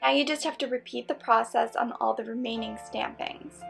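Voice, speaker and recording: Background music plays throughout. Over it, a woman talks rather quickly. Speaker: costume maker, craft tutorial creator. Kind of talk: tutorial voice-over.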